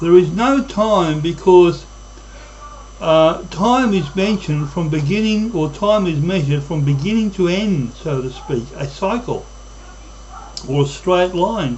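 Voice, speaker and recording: Over noticeable background noise and audible room echo, a man talks at a fairly slow pace in a high pitch with lively intonation. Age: 60s. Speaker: YouTube vlogger. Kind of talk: monologue.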